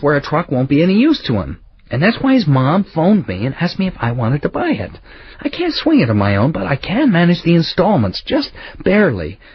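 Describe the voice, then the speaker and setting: A man puts on a raspy character voice, fairly high in pitch, with very wide pitch swings. He moves at a fairly quick pace. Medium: read story. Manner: blunt, pushy.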